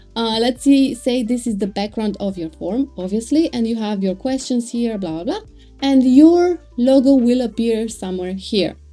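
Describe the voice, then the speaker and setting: Faint music sits behind the voice. A woman speaks at a moderate pace. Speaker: web design tutor. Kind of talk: tutorial.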